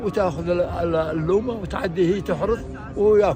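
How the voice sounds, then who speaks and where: Music plays in the background as a man with a high pitch speaks at a fairly slow pace, using ordinary pitch variation, with audible room echo. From Saudi Arabia, Ghamid region (Al-Baha). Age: 80s+. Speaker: elder recounting old times. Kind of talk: oral history reminiscence. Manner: halting, repeats words.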